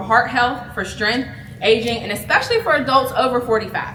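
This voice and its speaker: A woman speaks at a fairly quick pace with fairly even intonation. Room echo is audible, and background noise is noticeable. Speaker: wellness presenter, business founder. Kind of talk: health talk to a live audience. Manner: loud; casual, chatty.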